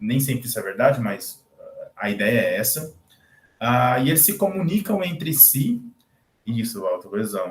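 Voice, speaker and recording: A man with lively intonation at a fairly slow pace. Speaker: guest lecturer, PhD student. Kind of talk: lecture. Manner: halting.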